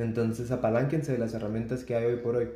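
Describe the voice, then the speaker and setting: A man speaks in a Guatemalan accent, somewhat breathy, with a dark, mellow tone. Room echo is audible. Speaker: clinical psychologist. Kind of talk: casual interview conversation.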